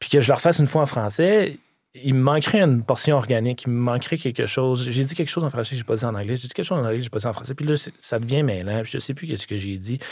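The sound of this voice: A man speaks fast at a medium pitch, with ordinary pitch variation. His tone is slightly mellow, with a slightly husky edge.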